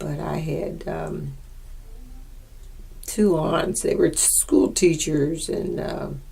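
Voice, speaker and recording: A woman with an American accent at a very slow pace, long and frequent pauses, big swings in loudness, audible room echo, and noticeable background noise. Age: 80s+. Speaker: oral history interviewee. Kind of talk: oral history interview. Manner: halting.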